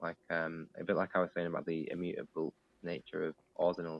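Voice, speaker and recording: In a northern English accent, a man speaks with a very deep, low voice. His intonation is flat and monotone. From northern England. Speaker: digital artist. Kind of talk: interview. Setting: live online stream.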